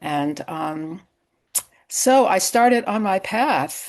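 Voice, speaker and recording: A woman in a Massachusetts accent, at a very slow pace. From US Northeast, Western Massachusetts. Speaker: psychotherapist, yoga therapist and author. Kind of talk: interview.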